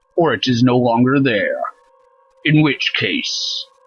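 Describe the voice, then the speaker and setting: A man does a put-on character voice at a medium pitch, with faint music playing in the background. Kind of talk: audio drama narration. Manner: cold, dispassionate.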